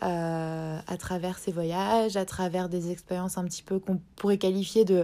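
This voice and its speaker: A woman's medium-pitched voice, dark and mellow in tone, on a very clean recording with a silent background. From France, Strasbourg (Alsace). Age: 20s. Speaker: podcast host. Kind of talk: casual monologue. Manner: hesitant, many fillers.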